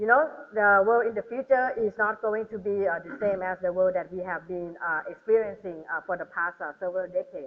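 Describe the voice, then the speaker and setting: A woman speaks with a Thai accent at a fairly quick pace, with hardly any pauses. Her pitch is medium, with ordinary variation. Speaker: government trade official, panelist. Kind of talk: panel talk. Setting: hotel ballroom seminar with audience. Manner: animated; hesitant, many fillers.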